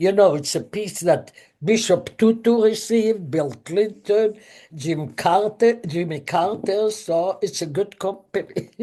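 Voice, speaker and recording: In a non-native accent, a woman talks at a fairly slow pace with a medium pitch, ordinary pitch variation and a dark, mellow tone. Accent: foreign accent, noticeable. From Israel. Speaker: chemist and professor. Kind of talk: interview.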